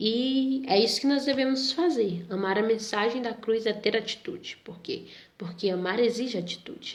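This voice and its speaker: Speaking at a moderate pace, a woman uses an ordinary speaking voice, fairly high in pitch, with lively intonation. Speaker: Sunday school teacher. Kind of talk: Bible lesson for youth.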